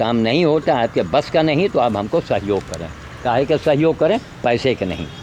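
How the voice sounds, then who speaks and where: Noticeable background noise sits behind this recording. The speaker is a man with medium pitch. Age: 70s. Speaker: animal welfare volunteer and vlogger. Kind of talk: impassioned appeal to viewers. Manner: animated, scolding.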